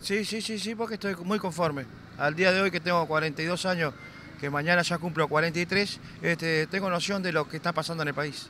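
A man speaks at a moderate pace with high pitch and fairly even intonation. The sound is dry with no echo, with light background noise. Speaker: interviewee. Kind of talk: interview answer. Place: street. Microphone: handheld.

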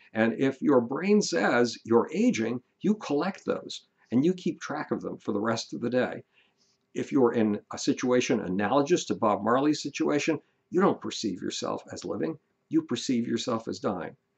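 A man speaks at a moderate pace with very wide pitch swings. The background is quiet. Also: medium pitch for a man. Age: 70s. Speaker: author giving life advice. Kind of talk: monologue, motivational talk. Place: home room. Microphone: webcam.

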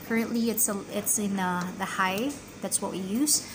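A woman talks at a moderate pace with fairly even intonation while music plays in the background. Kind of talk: tutorial. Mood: friendly and helpful. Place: kitchen. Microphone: phone near.

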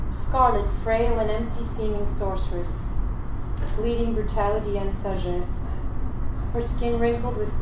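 Fairly slow pace amid loud background noise and audible room echo. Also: woman. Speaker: open mic poet. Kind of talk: poetry reading. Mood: slow, dramatic, measured delivery. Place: cafe. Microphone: handheld.

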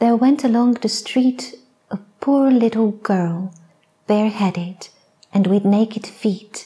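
A soft-spoken woman's fairly high voice, gentle in tone and somewhat breathy, very slow, with ordinary pitch variation over a quiet background. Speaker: poet, storyteller. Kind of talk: sleep story. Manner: soft-spoken, gentle. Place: stage. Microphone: lapel.

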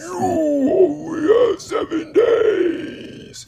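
A man uses a put-on character voice pitched extremely high. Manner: menacing.

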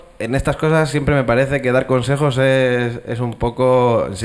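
This is a man speaking. His pitch is medium for a man. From Castilla y León, Spain. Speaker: animation studio co-founder. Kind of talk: panel discussion. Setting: stage with audience. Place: hall. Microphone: handheld.

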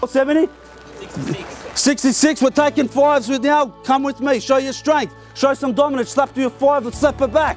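A man speaks in an energetic tone at an extremely high pitch, with faint music in the background. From Australia, Melbourne. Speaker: property auctioneer. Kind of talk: live property auction call. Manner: fast, rhythmic, energetic. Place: street.

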